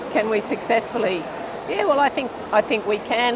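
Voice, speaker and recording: A woman with an Australian accent at a moderate pace, with ordinary pitch variation, audible room echo and noticeable background noise. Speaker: physiotherapy researcher, professor. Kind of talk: interview. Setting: conference studio.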